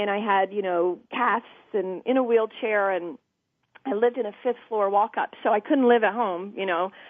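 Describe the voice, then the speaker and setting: This woman has a Southern US accent and a fairly high pitch. Her pace is moderate. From US South, Georgia (south of Atlanta). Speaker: TV interviewer and producer, podcast guest. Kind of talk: personal storytelling in interview. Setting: talk radio podcast.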